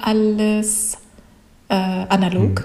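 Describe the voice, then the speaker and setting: A woman talks with a Japanese accent. Noticeable background noise is present. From Japan, childhood in Russia, USA, Saudi Arabia, France. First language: Japanese (speaking German). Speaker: comic artist and illustrator. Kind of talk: interview. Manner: halting, many fillers.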